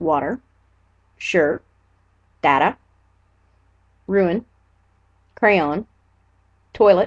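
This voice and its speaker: A woman speaks very slowly with lively intonation, the sound dry and close with no echo. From Nova Scotia, Canada (Annapolis Valley). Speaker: vlogger. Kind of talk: casual vlog, reading word list aloud. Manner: casual, filler words.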